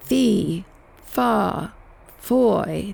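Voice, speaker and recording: A woman puts on a booming character voice. It sits at a fairly low pitch. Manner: menacing bellow.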